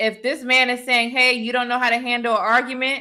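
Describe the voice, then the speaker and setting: The speech is loud and fairly quick. Its tone is animated. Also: woman. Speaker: relationship advice livestreamer. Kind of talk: livestream commentary.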